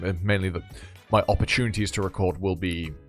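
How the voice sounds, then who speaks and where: Music plays in the background. A man speaks at a very deep, low pitch. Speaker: voice actor. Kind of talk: casual talk to camera.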